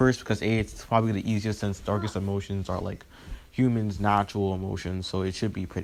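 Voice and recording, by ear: The intonation is fairly even. The reading aloud is done in a natural voice.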